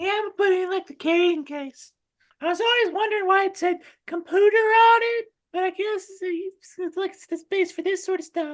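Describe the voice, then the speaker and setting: A woman's squeaky, put-on character voice, extremely high in pitch, with fairly even intonation, big swings in loudness and a fairly quick pace. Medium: actual play. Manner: casual, chatty.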